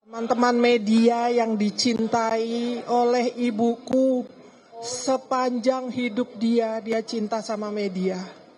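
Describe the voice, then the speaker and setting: Amid noticeable background noise, a woman with a fairly high pitch speaks at a very slow pace in a flat monotone. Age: 60s. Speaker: bereaved family member. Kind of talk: press statement.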